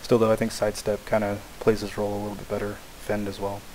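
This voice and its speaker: A man with a fairly low pitch speaks at a fairly quick pace over noticeable background noise. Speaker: video game commentator. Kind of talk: game replay commentary. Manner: hesitant, many filler words.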